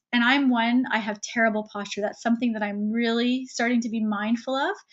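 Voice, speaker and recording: A woman's fairly high voice at a fairly quick pace, with ordinary pitch variation. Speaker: webinar presenter and coach. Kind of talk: webinar presentation. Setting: online webinar. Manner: fast.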